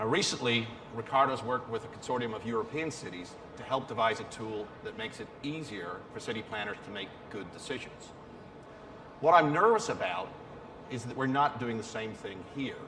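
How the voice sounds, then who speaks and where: A man with a Belfast accent talks at a fairly quick pace, his loudness swinging widely, amid noticeable background noise and audible room echo. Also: medium pitch for a man, ordinary pitch variation. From Northern Ireland, Belfast. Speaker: business executive speaking at a conference. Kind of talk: conference presentation.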